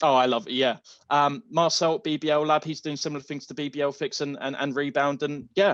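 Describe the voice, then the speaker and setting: Fairly quick and fairly even in intonation, a man with an English accent speaks at a fairly high pitch. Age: 20s. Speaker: basketball social media creator and history student. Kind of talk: podcast interview.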